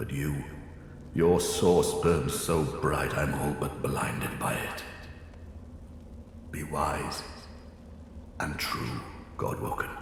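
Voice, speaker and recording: A man's put-on character voice in a solemn tone at a very slow pace, with long, frequent pauses, clear echo and clear background noise. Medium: video game. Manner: solemn, fading.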